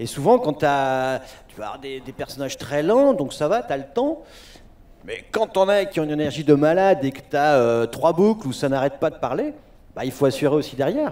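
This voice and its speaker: Fairly high male voice in a dark, mellow tone, with lively intonation and big swings in loudness. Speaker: voice actor. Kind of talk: convention panel talk. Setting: stage with audience. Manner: fast.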